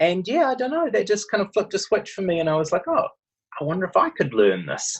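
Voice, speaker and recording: A man with a New Zealand accent at a very fast pace against a quiet background. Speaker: medical researcher. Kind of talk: interview. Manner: hesitant, many fillers.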